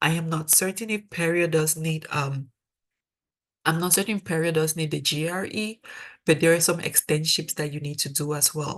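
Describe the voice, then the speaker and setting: A woman's very deep, low voice at a moderate pace, with fairly even intonation. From Cameroon. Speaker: dental student, mentor. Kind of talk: webinar presentation. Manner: conversational.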